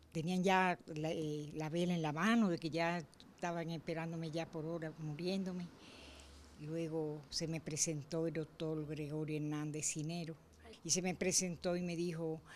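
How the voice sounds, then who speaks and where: Pausing long and often, a woman speaks at a fairly low pitch in a monotone, flat intonation over light background noise. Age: 80s+. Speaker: interviewee. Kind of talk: interview answer. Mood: earnest, devout storytelling. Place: home room. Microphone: handheld.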